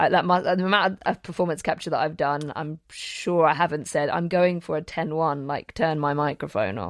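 In a British accent, a woman with a very deep, low pitch and ordinary pitch variation speaks at a moderate pace against a quiet background. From England. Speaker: podcast host and acting teacher. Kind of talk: casual chat.

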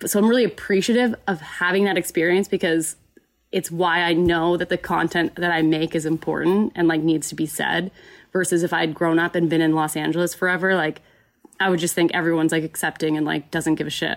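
A woman in an unremarkable speaking voice with an American accent, fairly low in pitch, fairly quick and fairly even in intonation. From Texas, Dallas suburbs. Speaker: YouTuber and filmmaker. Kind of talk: casual chat. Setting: video call.

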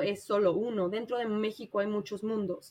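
A woman with a Mexico City accent talks at a fairly slow pace in a fairly high voice. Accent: Mexican Spanish (Mexico City). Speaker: traveler and volunteer. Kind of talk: interview.

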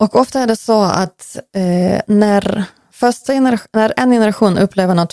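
With a Ukrainian accent and a dark, mellow tone, a woman speaks at a moderate pace with ordinary pitch variation, the sound dry and close with no echo. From western Ukraine, Lutsk. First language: Ukrainian (speaking Swedish). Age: 40s. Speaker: interviewee, Ukrainian emigrant. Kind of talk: interview. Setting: in person, host's home office.

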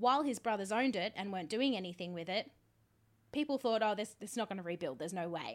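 This very clean recording has a silent background. The voice carries an Australian accent. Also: woman. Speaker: podcast host. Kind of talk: casual chat.

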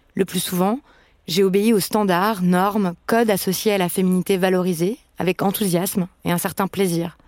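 In a very clean recording with a silent background and a dry, close sound with no echo, a woman uses a normal speaking voice at medium pitch, speaking at a moderate pace with very even loudness and fairly even intonation. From France. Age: 30s. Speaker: podcast host. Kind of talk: scripted narration.

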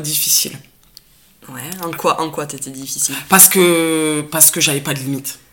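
Over noticeable background noise, a woman with a very deep, low pitch speaks at a fairly quick pace with big swings in loudness. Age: 30s. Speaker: special educator. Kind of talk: personal testimony in conversation.

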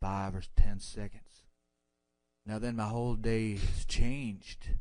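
A moderate pace in an American accent, with fairly even intonation and audible room echo. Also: man. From Texas. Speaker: caller. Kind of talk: casual chat.

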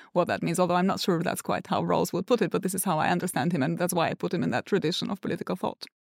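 A woman's fairly low-pitched voice with vocal fry and ordinary pitch variation, at a very fast pace with hardly any pauses, on a very clean recording with a silent background. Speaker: political philosopher. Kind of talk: intellectual podcast discussion.

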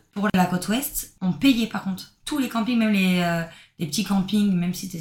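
A somewhat breathy voice moves at a fairly quick pace with lively intonation. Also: woman. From southern France. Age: 20s. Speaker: backpacker. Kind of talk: casual chat.

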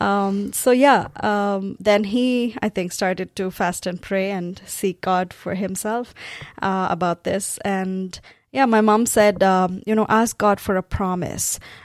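Very slow, fairly even speech from a woman with a Tamil accent, on a very clean recording with a silent background. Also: medium pitch for a woman. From South India, Tamil-speaking. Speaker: pastor. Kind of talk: testimony.

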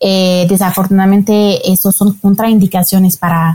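A somewhat breathy voice moves at a fairly slow pace. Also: woman. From France. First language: French (speaking Spanish). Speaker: marketing manager of a donor registry. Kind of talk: interview. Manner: hesitant, many fillers.

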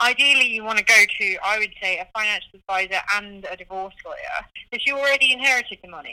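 In a British accent, a woman talks at a very fast pace with a bright, sharp tone and big swings in loudness. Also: fairly high pitch for a woman, ordinary pitch variation.

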